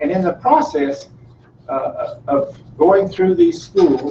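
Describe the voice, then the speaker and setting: A man with a high pitch talks at a fairly slow pace. His intonation is lively. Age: 60s. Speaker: navy veteran. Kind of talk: talk to school students. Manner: halting.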